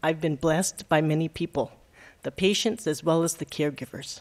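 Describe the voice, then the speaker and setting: This woman has a very deep, low pitch. The background is quiet. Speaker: retired nurse; presenter. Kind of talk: presentation. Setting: stage with audience. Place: hall.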